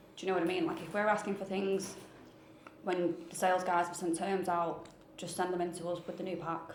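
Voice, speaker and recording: A woman with a Mancunian accent speaks at a fairly quick pace in a flat, monotone delivery, her pitch fairly low, with noticeable background noise and audible room echo. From Manchester, northern England. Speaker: mortgage processing team member. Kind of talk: casual chat.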